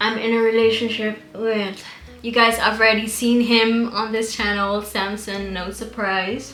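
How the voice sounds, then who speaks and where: Amid audible room echo and noticeable background noise, a woman with fairly high pitch speaks at a fairly slow pace in a monotone, flat intonation. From Caribbean island where Papiamento is spoken (ABC islands). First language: Papiamento. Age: 30s. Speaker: beauty YouTuber. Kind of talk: casual chat.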